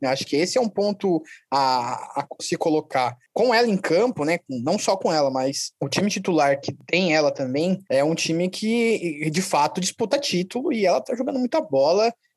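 The man's pitch is high and swings very widely as he speaks at a moderate pace with hardly any pauses. The sound is dry and close, with no echo. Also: quiet background. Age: 20s. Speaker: podcast co-host, historian. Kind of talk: casual sports podcast chat.

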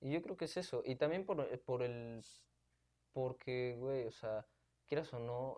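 Using a normal speaking voice, a man talks at a fairly slow pace with ordinary pitch variation. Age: 20s. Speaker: law student. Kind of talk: casual chat.

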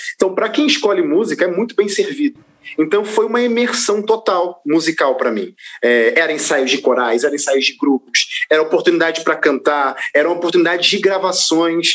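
Amid noticeable background noise, a man with a high pitch speaks at a fairly quick pace with very wide pitch swings. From Brazil, Rio de Janeiro. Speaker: gospel singer and presenter. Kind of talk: casual interview. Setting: studio.

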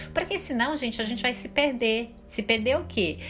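Noticeable noise sits in the background. A woman speaks at a moderate speed. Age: 40s. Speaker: holistic therapist. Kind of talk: spiritual podcast monologue. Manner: casual, informal.

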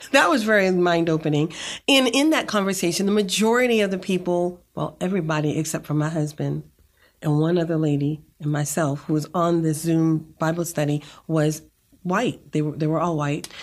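A woman with an American accent speaks in a normal speaking voice, her pitch fairly low and its variation ordinary. She talks at a moderate pace on a very clean recording with a silent background. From Boston, Massachusetts. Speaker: physical therapist and co-pastor. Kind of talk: interview conversation.

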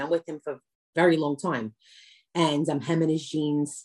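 A woman speaks fairly quickly in a New York accent. Her pitch is very deep and low, with a dark, mellow tone. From New York, Brooklyn. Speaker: comedian and social media creator. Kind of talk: casual interview chat.

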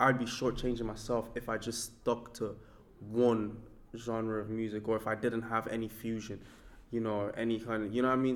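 A man speaks at a fairly quick pace in a medium pitch. His intonation is monotone and flat. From Nigeria, moved to Ireland at 14. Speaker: hip hop artist. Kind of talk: interview.

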